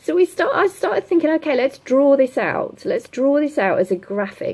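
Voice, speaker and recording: A woman speaks with very wide swings in pitch. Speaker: business coach. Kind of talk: livestream coaching session. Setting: livestream from home with laptop. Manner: fast.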